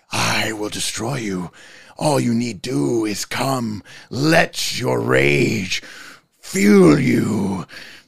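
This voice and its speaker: In a raspy, put-on character voice, a man talks at a very slow pace. His pitch is fairly low. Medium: actual play. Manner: menacing, baiting.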